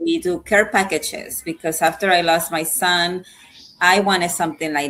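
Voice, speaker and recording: Speaking at a moderate pace is a woman. Her pitch sits fairly low. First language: not English. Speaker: suicide prevention advocate and nonprofit founder. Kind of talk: interview.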